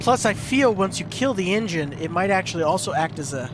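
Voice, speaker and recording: A man with a high pitch and lively intonation at a moderate pace, music playing in the background. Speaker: gaming youtuber. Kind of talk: gameplay commentary. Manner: casual rambling.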